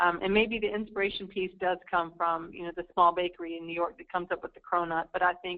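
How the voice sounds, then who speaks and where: In an American accent, a woman talks at a fairly quick pace with a fairly low pitch. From United States. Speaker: market research analyst. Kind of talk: webinar Q&A. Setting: online webinar. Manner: hesitant, many fillers.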